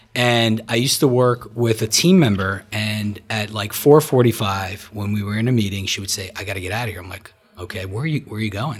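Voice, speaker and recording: With an American accent, a man speaks at a fairly low pitch with ordinary pitch variation. Background noise is noticeable. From New Jersey. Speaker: gym member and guest. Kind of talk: casual chat.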